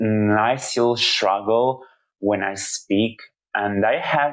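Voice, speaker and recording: A man with a non-native accent, fairly low in pitch, speaking very slowly in a monotone, flat intonation. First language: not English. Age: 30s. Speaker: video blogger. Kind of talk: personal monologue. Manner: halting.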